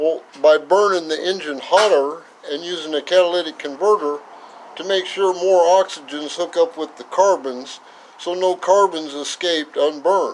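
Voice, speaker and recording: With an American accent and a high pitch, a man speaks at a moderate pace and with fairly even intonation against noticeable background noise. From northern California. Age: 70s. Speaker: retired mechanic. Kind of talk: tutorial. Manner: casual, halting with fillers.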